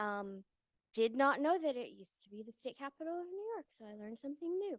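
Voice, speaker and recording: With an American accent, a woman talks at a fairly quick pace with very wide pitch swings, recorded with a dry, close sound and no echo. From US Midwest, Wisconsin. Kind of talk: lecture. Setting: lecture hall with audience, also streamed online. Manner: casual, fast-paced.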